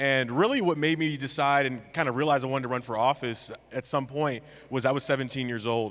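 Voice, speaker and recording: A man talks at a fairly quick pace with an American accent in an ordinary speaking voice. His pitch is medium and his intonation fairly even. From California, US. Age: 20s. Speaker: mayor, panelist. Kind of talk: panel discussion.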